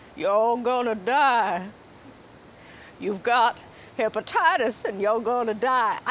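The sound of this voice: In a put-on character voice with a Southern accent, the speaker drawls at a fairly slow pace and a fairly high pitch, with long, frequent pauses over clear background noise.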